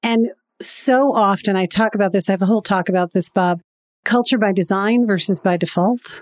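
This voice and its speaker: On a very clean recording with a silent background, a woman speaks in an ordinary speaking voice. Her pitch is medium, her pace moderate and her intonation fairly even. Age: 50s. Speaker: business founder and CEO. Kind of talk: interview.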